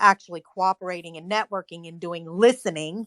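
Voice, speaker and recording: A woman's medium-pitched voice with a bright, sharp tone and fairly even intonation, dry and close with no echo, over a quiet background. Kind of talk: group discussion. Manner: slow.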